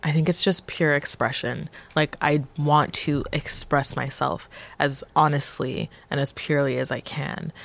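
A woman with a Canadian accent speaks at a fairly slow pace in a very deep, low pitch with vocal fry. Her intonation is fairly even. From Montreal, Canada (born Nigeria). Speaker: musician. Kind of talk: interview.

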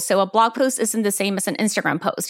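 At a fairly quick pace, a woman uses a normal speaking voice at a fairly high pitch in a very clean recording with a silent background. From Houston, Texas and El Salvador. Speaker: entrepreneur. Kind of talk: interview.

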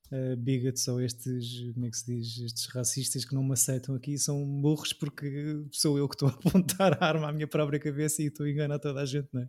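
Speaking at a moderate pace, a man with an unremarkable speaking voice keeps his intonation fairly even. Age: 30s. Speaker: podcast host. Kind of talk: casual chat.

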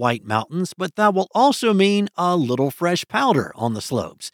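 A man speaks at a moderate pace with lively intonation in an ordinary speaking voice. The recording is very clean, dry and close, with a silent background and no echo. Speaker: weather news host. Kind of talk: scripted weather news reading. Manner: smooth, even-paced newsreader delivery; upbeat, promotional tone about ski conditions.

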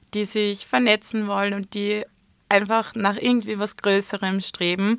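This woman speaks fairly slowly at a medium pitch, her intonation flat and monotone. Her tone is bright and sharp, with a dry, close sound and no echo on a very clean recording over a silent background. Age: 20s. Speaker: influencer and entrepreneur. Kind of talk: interview.

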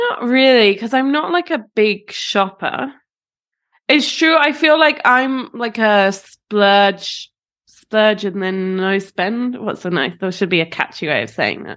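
With lively intonation and a fairly high pitch, a woman speaks at a very slow pace over a quiet background. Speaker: podcast co-host. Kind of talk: casual chat.

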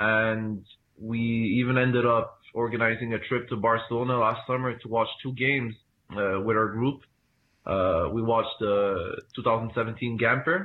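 A man talks in an ordinary speaking voice at a medium pitch. His pace is moderate and his intonation fairly even. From Canada (Montreal). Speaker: football supporters club president. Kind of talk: interview.

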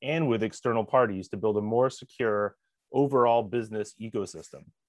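The man has a plain, everyday voice, medium in pitch, and talks at a fairly quick pace. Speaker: podcast host. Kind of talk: casual interview.

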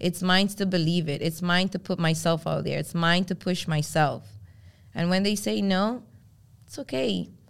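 On a very clean recording with a silent background, a woman with a fairly low pitch and vocal fry speaks at a moderate pace with lively intonation. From Venezuela, then Brooklyn from age eight. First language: Spanish. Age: 30s. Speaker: fashion influencer and stylist. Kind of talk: casual interview chat. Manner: animated.

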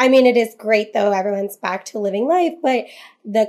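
Her medium pitch showing ordinary pitch variation, a woman speaks in a normal speaking voice. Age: 30s. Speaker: social media agency founder and influencer. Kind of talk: casual interview.

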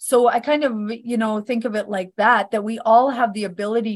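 Against a quiet background, a woman with a Canadian accent speaks in a normal speaking voice. Her pitch is fairly high and her intonation fairly even. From Northern Alberta, Canada. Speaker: author and psychic medium. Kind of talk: casual interview.

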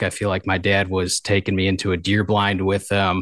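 A man with a Michigan accent at a moderate pace, recorded dry and close with no echo over a quiet background. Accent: Upper Midwest (Michigan). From Michigan, southeast. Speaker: upland hunting gear business owner. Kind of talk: casual interview chat. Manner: hesitant, many fillers and repeats.

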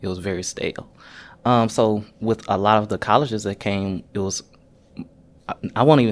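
Fairly low in pitch, the man has an unremarkable speaking voice with fairly even intonation. The recording is very clean, with a silent background. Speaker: university staff member, recent graduate. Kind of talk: casual panel conversation.

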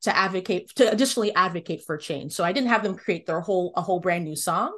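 An ordinary speaking voice with an American accent carries lively intonation. The background is quiet. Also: woman. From US, Washington DC area (Northern Virginia). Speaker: music education consultant. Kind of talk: interview.

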